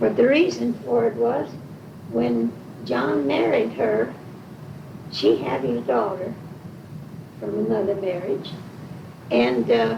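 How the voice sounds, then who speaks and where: With an American accent and a very deep, low pitch, a woman speaks very slowly with long, frequent pauses and very wide pitch swings. Audible room echo and noticeable background noise fill the recording. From Washington, Illinois (US Midwest). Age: 80s+. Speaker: oral history interviewee. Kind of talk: oral history interview, casual chat.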